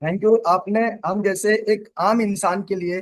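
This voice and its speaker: Here a man talks. The rise and fall of his voice stays fairly even. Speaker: direct-selling distributor. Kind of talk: thank-you testimony speech.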